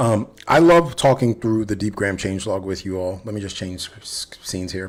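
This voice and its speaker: A man speaks in a somewhat breathy voice in a very clean recording with a silent background. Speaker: developer advocate livestreamer. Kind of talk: live coding stream chat. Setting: livestream. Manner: subdued; halting, self-correcting.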